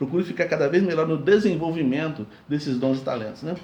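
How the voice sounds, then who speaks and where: A fairly quick, somewhat breathy man with a fairly high pitch and a dark, mellow tone, in audible room echo. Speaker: pastor. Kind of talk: sermon. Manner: fast.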